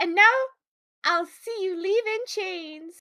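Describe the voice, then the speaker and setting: In a put-on character voice with extremely high pitch, the speaker is soft-spoken and goes at a fairly slow pace. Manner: soft, cuddly.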